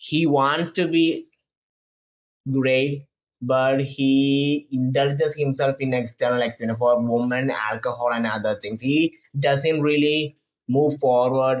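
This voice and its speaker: With a non-native accent and a medium pitch, a man speaks with long, frequent pauses. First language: not English. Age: 20s. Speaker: manga commentator. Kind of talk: casual monologue review. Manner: halting, many false starts.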